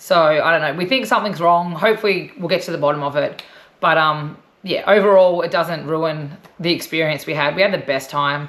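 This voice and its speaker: Fairly quick and fairly low-pitched, a woman speaks with ordinary pitch variation. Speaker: travel vlogger. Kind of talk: casual chat.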